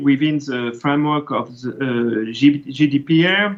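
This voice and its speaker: A man is speaking at a fairly slow pace. His pitch variation is ordinary. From France. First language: French. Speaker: education ministry official. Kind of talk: conference talk. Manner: halting.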